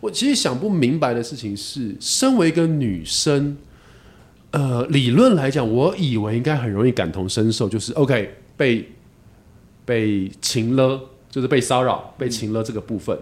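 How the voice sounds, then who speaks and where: In an unremarkable speaking voice, a man talks at a fairly slow pace with lively intonation and a medium pitch. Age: 40s. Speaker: podcast host. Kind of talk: casual chat.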